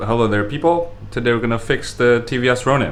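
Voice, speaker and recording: Music plays in the background as a man talks at a very fast pace. His pitch is medium with ordinary variation. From Indonesia. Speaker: motorcycle vlogger. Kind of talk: casual vlog Q&A. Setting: at desk, home. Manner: loud, close to mic. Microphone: very close to microphone.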